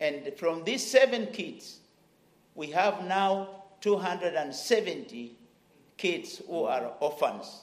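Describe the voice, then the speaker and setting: This man's voice is high in pitch, with lively intonation. He speaks at a very slow pace. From Kenya. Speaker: missionary pastor. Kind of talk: testimony. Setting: church service.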